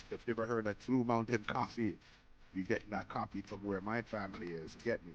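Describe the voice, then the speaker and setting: A man talks at a fairly quick pace in a fairly low pitch. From Canada, with Jamaican roots. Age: 40s. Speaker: podcaster and DJ. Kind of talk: casual livestream monologue. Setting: home DJ setup, livestream. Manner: animated.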